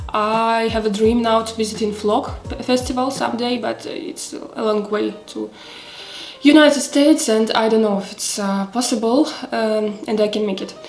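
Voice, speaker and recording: A woman with a Russian accent speaks at a moderate pace and a fairly high pitch, her intonation fairly even, with audible room echo and music in the background. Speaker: knitting vlogger. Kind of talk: casual chat. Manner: halting, many fillers.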